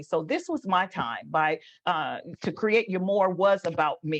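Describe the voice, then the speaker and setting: A woman speaks at a fairly slow pace in a medium pitch with ordinary variation. The background is quiet. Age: 60s. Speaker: ordained minister and motivational speaker. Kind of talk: casual interview. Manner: halting, many fillers and repeats.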